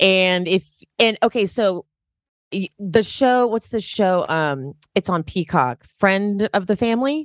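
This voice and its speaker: With a plain, everyday voice, a woman speaks fairly slowly at a medium pitch with lively intonation, in a dry, close sound with no echo. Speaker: podcast host. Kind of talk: casual chat.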